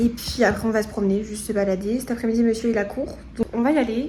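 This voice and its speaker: A woman speaks in a flat monotone at fairly high pitch. Noticeable background noise and audible room echo surround her. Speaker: lifestyle vlogger. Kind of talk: vlog. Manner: casual, hesitant with fillers; loud.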